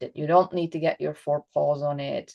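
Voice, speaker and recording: A woman speaks in a Flemish Belgian accent with ordinary pitch variation. Behind her, the background is quiet. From Belgium (Flanders). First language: Dutch (Flemish). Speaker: dog trainer and behaviorist. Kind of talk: interview conversation. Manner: halting, with repetitions.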